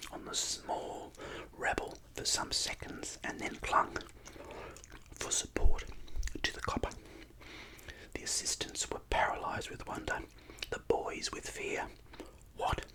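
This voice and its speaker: A man whispers fairly slowly through noticeable background noise. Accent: Australian. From Australia. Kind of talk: book reading. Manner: whispered.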